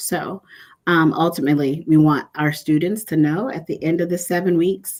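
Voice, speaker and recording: This woman has a fairly low pitch and keeps a moderate pace. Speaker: program host and internship organizer. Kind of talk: live online info session. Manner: animated.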